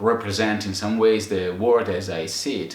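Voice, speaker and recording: At a moderate pace, a man talks amid audible room echo and noticeable background noise. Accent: Italian. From Italy. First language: Italian. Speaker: photographer and video maker, channel co-host. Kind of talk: casual chat. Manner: halting, many fillers.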